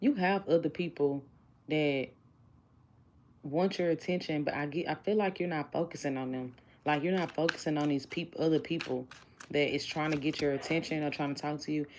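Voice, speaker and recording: A woman with a Southern US accent talks at a fairly quick pace, her very deep, low pitch held in fairly even intonation. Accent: country (Southern US). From Houston, Texas. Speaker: tarot reader. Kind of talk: livestream tarot reading. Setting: live stream. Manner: casual, conversational.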